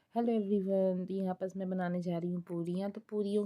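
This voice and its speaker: A woman with a dark, mellow tone and monotone, flat intonation. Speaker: homemaker vlogger. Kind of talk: cooking vlog. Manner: casual, chatty.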